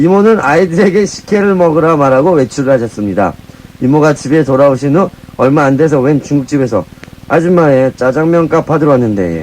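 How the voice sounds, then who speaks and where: Over noticeable background noise, a man with a fairly high pitch talks at a fairly quick pace, his loudness very even and his intonation lively. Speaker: radio co-host. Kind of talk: reading listener letter aloud on radio.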